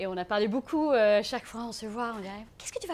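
A woman speaks at a very fast pace with lively intonation. Her pitch is fairly high. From South Africa. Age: 30s. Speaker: aspiring farmer, former advertising worker. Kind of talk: live talk to an audience. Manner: non-native, halting French.

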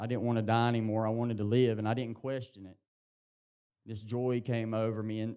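A man with an Appalachian accent speaks at a moderate pace in a dark, mellow tone with monotone, flat intonation. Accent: Southern US (Appalachian). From East Tennessee, US South. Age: 30s. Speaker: recovery program graduate. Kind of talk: testimony. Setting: church with congregation.

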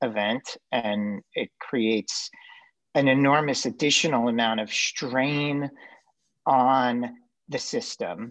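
Against a quiet background, a man with a medium pitch and ordinary pitch variation talks in a normal speaking voice. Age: 40s. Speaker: podcast co-host, former government official. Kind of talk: casual chat.

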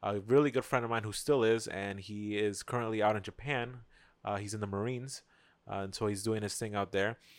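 A man speaks in a normal speaking voice at a fairly low pitch and moderate pace. The recording is very clean with a silent background. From South Florida, born in Queens, New York. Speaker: car photographer and videographer. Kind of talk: casual chat.

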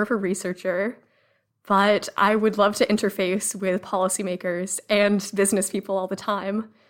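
Using a normal speaking voice, a woman with an American accent talks at a medium pitch and moderate pace, her intonation fairly even. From Massachusetts (Cambridge). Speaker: research analyst. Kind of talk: podcast interview.

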